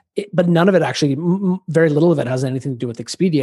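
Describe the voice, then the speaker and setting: With a dark, mellow tone and a somewhat breathy sound, a man talks at a very fast pace with ordinary pitch variation. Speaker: podcast company CEO. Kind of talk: interview. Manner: animated.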